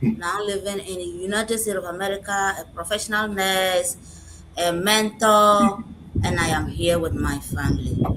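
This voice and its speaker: A woman at a medium pitch and moderate pace, with fairly even intonation and noticeable background noise. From Ghana, Upper West region. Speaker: nurse and business mentor. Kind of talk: live stream panel answer.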